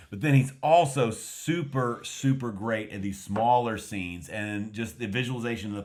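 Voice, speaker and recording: At a moderate pace, a man talks with a West Texas accent. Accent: mild West Texas American. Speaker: film review podcast co-host. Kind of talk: casual film review chat. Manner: halting, many fillers and restarts.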